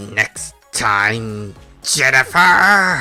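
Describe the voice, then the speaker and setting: A low-pitched, put-on character voice with faint music behind it. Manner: screaming.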